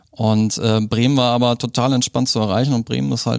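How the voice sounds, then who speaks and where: This man's voice has a medium pitch. He speaks at a moderate speed, his intonation fairly even. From Germany, moved around. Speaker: board game shop owner. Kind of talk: casual interview. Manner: halting, many fillers.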